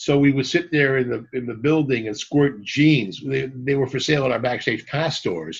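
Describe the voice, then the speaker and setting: Somewhat breathy, the man's voice sits at a medium pitch with ordinary pitch variation. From Canada, Montreal. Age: 60s. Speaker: rock t-shirt merchandise entrepreneur. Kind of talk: podcast interview. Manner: animated.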